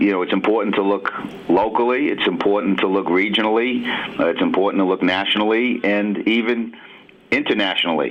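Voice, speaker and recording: A man with a New York accent speaks at a fairly low pitch and moderate pace. His intonation stays fairly even against noticeable background noise. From New York City, Brooklyn. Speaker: basketball assistant coach. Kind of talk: radio interview.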